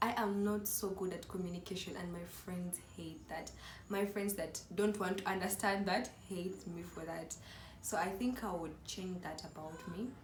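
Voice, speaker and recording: There is noticeable background noise and audible room echo. The speaker is a woman. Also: medium pitch for a woman, moderate pace. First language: not English. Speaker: YouTuber. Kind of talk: casual vlog chat. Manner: animated.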